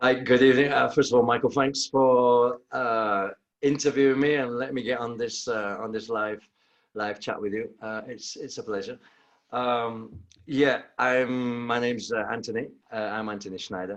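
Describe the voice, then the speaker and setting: At a moderate pace, a man with a Manchester accent talks at a medium pitch with fairly even intonation. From northern England, Manchester. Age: 50s. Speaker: personal trainer and bootcamp owner. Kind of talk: interview. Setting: video call. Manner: halting.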